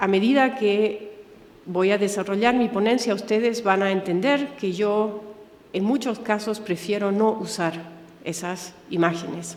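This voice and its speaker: Speech comes at a very slow pace with long, frequent pauses and ordinary pitch variation, amid noticeable background noise and audible room echo. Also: woman. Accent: German. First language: German (speaking Spanish). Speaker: museum director, Holocaust educator. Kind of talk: lecture. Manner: halting.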